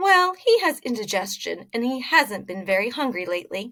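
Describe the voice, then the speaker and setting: A woman puts on a character voice pitched high. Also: moderate pace. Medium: read story.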